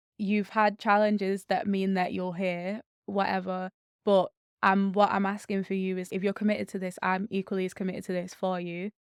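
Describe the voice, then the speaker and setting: A woman with a Mancunian accent speaks at a fairly quick pace and medium pitch. Her intonation is fairly even, and the sound is dry and close with no echo. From Manchester, northern England. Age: 20s. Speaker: charity CEO and social entrepreneur. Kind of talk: podcast interview.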